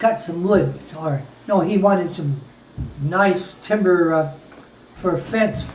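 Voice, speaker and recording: Amid noticeable background noise and audible room echo, a man speaks at a very slow pace. His pitch is high, and he takes long, frequent pauses. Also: ordinary pitch variation. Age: 80s+. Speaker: war veteran. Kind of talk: storytelling. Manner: halting.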